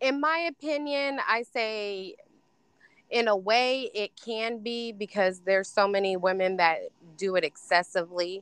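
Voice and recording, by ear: A plain, everyday voice with an American accent talks at a fairly slow pace with lively intonation. The sound is dry and close with no echo, against a quiet background. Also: woman, fairly high pitch for a woman.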